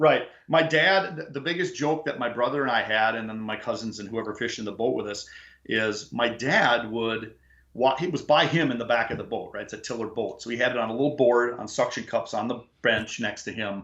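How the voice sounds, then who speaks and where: Fairly quick pace from a man with an Upper Midwest accent, bright and sharp in tone, at a medium pitch with ordinary pitch variation. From Upper Peninsula of Michigan. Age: 50s. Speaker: fishing guide. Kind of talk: casual chat.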